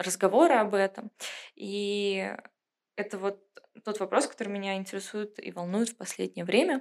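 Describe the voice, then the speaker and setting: Speaking at a moderate pace, a woman of medium pitch uses ordinary pitch variation, big swings in loudness and long, frequent pauses. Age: 20s. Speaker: museum inclusion program manager. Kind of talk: casual chat. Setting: studio.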